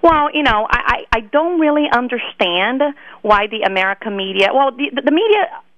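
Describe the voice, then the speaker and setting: With noticeable background noise behind her, a woman talks at a moderate pace, her pitch swinging very widely. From Brazil (Rio de Janeiro). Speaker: political activist. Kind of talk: interview. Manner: repetitive false starts.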